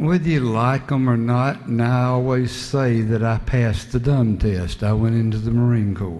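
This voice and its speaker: Amid noticeable background noise and audible room echo, a man speaks in a Southern US accent. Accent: Southern US (Georgia). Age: 60s. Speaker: state legislator. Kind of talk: floor speech in legislative debate. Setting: legislative chamber.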